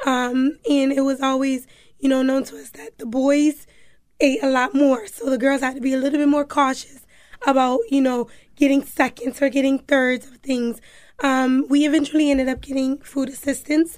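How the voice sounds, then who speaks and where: At a moderate pace, a woman with a high pitch speaks in a monotone, flat intonation marked by big swings in loudness. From Hartford, Connecticut. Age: 20s. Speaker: city government staffer. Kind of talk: casual chat.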